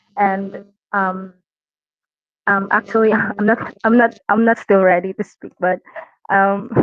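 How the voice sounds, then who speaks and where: With a non-native accent, a woman speaks at a fairly slow pace and medium pitch in a monotone, flat intonation, pausing long and often. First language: not English. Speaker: community artist. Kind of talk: casual chat. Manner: halting.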